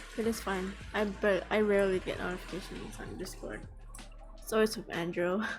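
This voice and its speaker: Over music in the background, a woman speaks at a moderate pace with audible room echo. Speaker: podcast streamer. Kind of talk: casual live stream chat. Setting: live stream.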